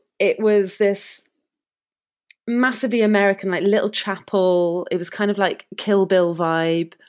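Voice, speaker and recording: A woman with a Cardiff accent at a medium pitch and a fairly slow pace, her intonation fairly even, on a very clean recording with a silent background. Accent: Welsh (Cardiff). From Wales, Cardiff. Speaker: wedding videographer. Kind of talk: casual interview.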